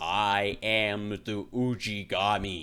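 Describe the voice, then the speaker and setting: A man bellowing in a put-on character voice, fairly low in pitch. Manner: fierce, bellowing.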